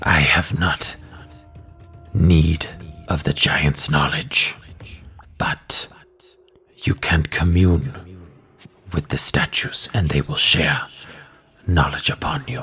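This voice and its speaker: A man puts on a character voice with a very deep, low pitch. He speaks very slowly, with long, frequent pauses. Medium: actual play. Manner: terse, formal, flat and emotionless; dramatic pauses.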